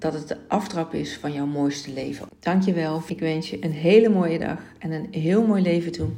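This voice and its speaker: Noticeable background noise and audible room echo around a woman's very deep, low pitch, with ordinary pitch variation and a fairly slow pace. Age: 40s. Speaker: podcast host and life coach. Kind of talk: solo podcast monologue.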